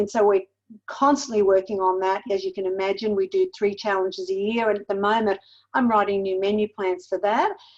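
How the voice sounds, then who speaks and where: A woman's fairly high voice with an Australian accent and ordinary pitch variation. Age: 60s. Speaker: weight loss mentor and cookbook author. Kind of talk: podcast interview.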